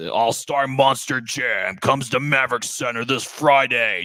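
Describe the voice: With light noise behind him, a man performs a put-on character voice. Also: medium pitch for a man, moderate pace.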